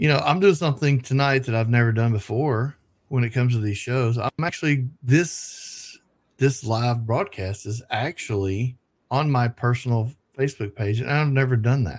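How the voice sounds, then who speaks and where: In a Southern US accent, a man with a medium-pitched, somewhat breathy voice speaks at a moderate pace with ordinary pitch variation, on a very clean recording with a silent background. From US South. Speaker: radio show host. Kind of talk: casual chat.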